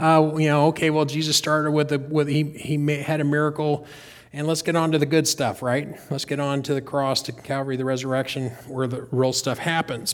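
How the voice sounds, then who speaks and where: Fairly high in pitch, a man speaks at a fairly quick pace in a monotone, flat intonation. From North Carolina. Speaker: pastor. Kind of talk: sermon. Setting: church. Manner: halting.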